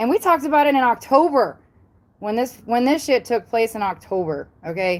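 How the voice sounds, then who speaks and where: The voice is loud, with an American accent and very wide swings in pitch. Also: woman. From US South. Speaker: paranormal YouTuber. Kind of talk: live stream chat. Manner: animated.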